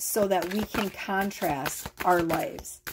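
The pace is very slow in this woman's medium-pitched voice, with ordinary pitch variation. Noticeable background noise runs underneath. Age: 40s. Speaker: tarot reader. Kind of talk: tarot reading monologue to camera. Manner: casual, rambling and animated. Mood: loose, joking, frustrated. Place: home room. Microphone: phone near.

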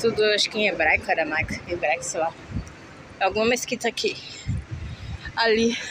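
Over noticeable background noise, a woman with a fairly high voice speaks at a moderate pace with ordinary pitch variation. The sound is dry with no echo, and she leaves long, frequent pauses. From Brazil. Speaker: vlogger. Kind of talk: casual walking vlog. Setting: outdoors. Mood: mildly complaining, conversational. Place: street. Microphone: phone near.

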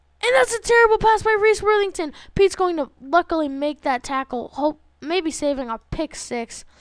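At a moderate pace, a woman speaks at an extremely high pitch with very wide pitch swings, the sound dry and close with no echo. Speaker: gaming youtuber. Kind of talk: gameplay commentary.

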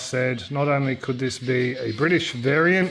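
Faint music plays in the background as a man talks at a fairly slow pace with ordinary pitch variation. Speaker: hobby tractor restorer. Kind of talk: casual vlog chat. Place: garage. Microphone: phone near.

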